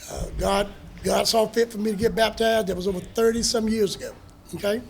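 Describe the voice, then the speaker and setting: A man with a North Carolina accent speaks high and fairly quick in a monotone, flat intonation while music plays in the background. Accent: US Southern (North Carolina). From North Carolina (Hertford County). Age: 60s. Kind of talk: casual talk to an audience.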